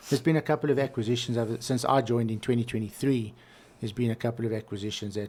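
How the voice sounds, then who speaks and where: A very fast South African accent with fairly even intonation, on a very clean recording with a silent background. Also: man, medium pitch for a man. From South Africa, Johannesburg. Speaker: valve actuation industry professional. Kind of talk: casual interview.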